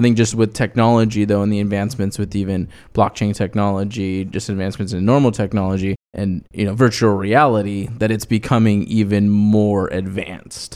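Speaking at a fairly quick pace with hardly any pauses, a man with an unremarkable speaking voice keeps a fairly low pitch and fairly even intonation in a very clean recording with a silent background. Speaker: financial planner, podcast co-host. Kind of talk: casual chat about personal finance.

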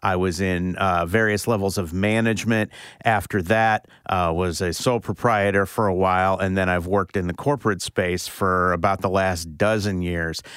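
A man with an American accent speaks at a moderate pace in a very deep, low pitch with fairly even intonation, on a very clean recording with a silent background. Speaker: guest co-host, law firm development strategist. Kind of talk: casual interview. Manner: hesitant with fillers.

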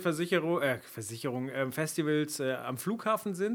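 A man, with noticeable background noise. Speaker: podcast co-host, event industry. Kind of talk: casual chat.

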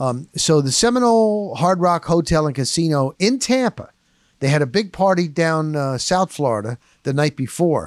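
A man with a fairly high pitch and lively intonation speaks in an unremarkable speaking voice. The recording is very clean and dry, with a close sound, no echo and a silent background. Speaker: sports reporter and podcast host. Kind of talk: solo podcast narration with red carpet interviews. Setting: red carpet event interviews, then podcast recap.

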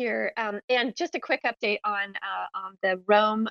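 A woman with a normal speaking voice talks at medium pitch with ordinary pitch variation, in a dry, close sound with no echo. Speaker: head of creator relations, space moderator. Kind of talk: live audio chat hosting. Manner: frequent fillers and laughter.

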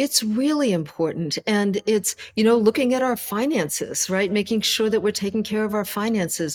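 This woman has a plain, everyday voice, fairly high in pitch with ordinary variation. She keeps a moderate pace with hardly any pauses. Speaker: self-care coach and author. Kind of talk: interview conversation.

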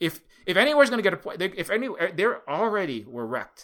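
A man talks very fast in an animated tone with a Hawaiian accent. The recording is very clean with a silent background. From Hawaii, Honolulu (Oahu). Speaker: activist and indie game developer. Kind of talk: interview. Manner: animated, halting with many fillers.

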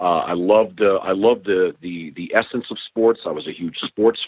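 This man has an unremarkable speaking voice, pitched fairly low and delivered at a fairly slow pace. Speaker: sports broadcaster. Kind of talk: casual interview chat.

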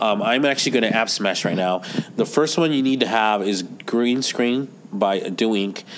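Moderate pace and ordinary pitch variation amid noticeable background noise. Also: man. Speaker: podcast co-host; teacher. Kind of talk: casual tech podcast chat.

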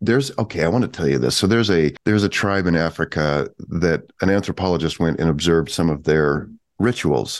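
Against a quiet background, a man speaks at a fairly quick pace. His pitch is very deep and low, and his loudness stays very even. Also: lively intonation. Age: 50s. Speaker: author and creativity teacher. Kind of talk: interview conversation.

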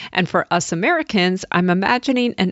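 A woman speaks with a plain, everyday voice at medium pitch. She keeps a moderate pace and lively intonation. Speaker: podcast host. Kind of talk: interview.

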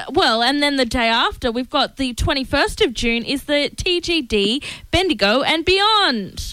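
A woman's raised, projected voice, high-pitched with a bright, sharp tone, very wide pitch swings and a fairly slow pace. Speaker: radio co-host. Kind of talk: radio show chat.

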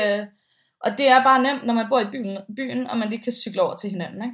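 A woman's fairly high voice, an unremarkable speaking voice, moves at a moderate pace and varies in pitch in an ordinary way. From Denmark, Bornholm. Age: 30s. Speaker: radio host and podcaster. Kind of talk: casual interview chat. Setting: remote recording from home.

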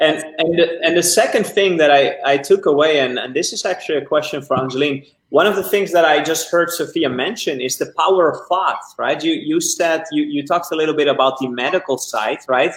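A man's fairly high-pitched, enthusiastic voice at a fairly quick pace, with ordinary pitch variation. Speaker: interview show host. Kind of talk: interview.

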